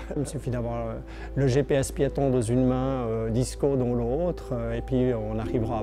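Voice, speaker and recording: A man talks at a fairly slow pace with audible room echo and music in the background. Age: 60s. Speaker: blind para-climber. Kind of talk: testimony. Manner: hesitant, many fillers and repetitions.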